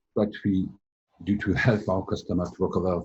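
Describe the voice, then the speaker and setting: A man's very deep, low, somewhat breathy voice at a moderate pace, with a French accent. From France. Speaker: company president, IT service provider. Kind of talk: interview. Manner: halting.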